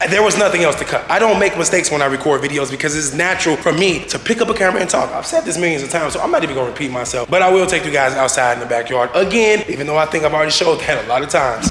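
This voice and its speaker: Noticeable background noise and audible room echo surround a man talking at a very fast pace. His pitch is fairly high, with ordinary pitch variation. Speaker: YouTuber, vlogger. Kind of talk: casual vlog talk to camera, house tour. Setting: outdoors in backyard.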